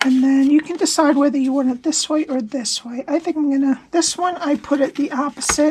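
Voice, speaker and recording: Noticeable background noise sits behind a woman with a high pitch and fairly even intonation. She talks fairly quickly with hardly any pauses. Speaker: paper craft demonstrator. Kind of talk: tutorial. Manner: casual, conversational.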